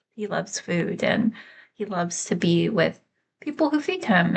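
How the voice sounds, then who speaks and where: With an American accent, a woman speaks at a fairly slow pace in a medium pitch, her voice somewhat breathy. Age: 30s. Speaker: vlogger. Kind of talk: casual vlog monologue. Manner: halting, many fillers.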